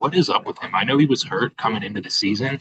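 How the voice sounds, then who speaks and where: Lively intonation marks a man with an American accent speaking at medium pitch. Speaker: sports podcast co-host. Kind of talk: casual chat. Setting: cafe. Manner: quieter than usual.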